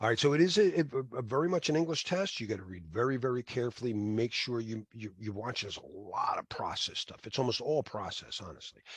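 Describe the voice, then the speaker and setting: A somewhat breathy man speaks at a very fast pace, his pitch swinging very widely and his loudness rising and falling by big amounts. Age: 60s. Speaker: cybersecurity certification instructor. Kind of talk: lecture. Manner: halting, many fillers and restarts.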